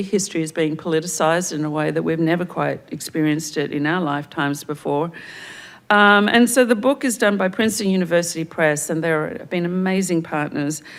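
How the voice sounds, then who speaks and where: With an American accent, a woman talks at a fairly quick pace in a fairly low voice with ordinary pitch variation. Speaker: museum director opening a symposium. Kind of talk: welcoming remarks and acknowledgments. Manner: hesitant, many fillers and restarts.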